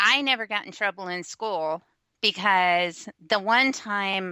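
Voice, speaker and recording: In a very clean recording with a silent background and a dry, close sound with no echo, a woman of medium pitch speaks with a bright, sharp tone. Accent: American. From West Texas, small rural town. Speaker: blogger. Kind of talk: casual chat.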